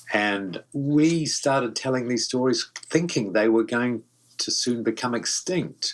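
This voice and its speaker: Speaking with a New Zealand accent, a man shows ordinary pitch variation. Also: medium pitch for a man, fairly slow pace. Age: 70s. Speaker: voice actor. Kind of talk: interview. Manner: halting.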